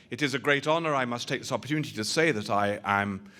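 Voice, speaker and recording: A man talks very fast in a strong British accent at a medium pitch. The recording is very clean, with a silent background. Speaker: rabbi, interfaith lecturer. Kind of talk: public lecture.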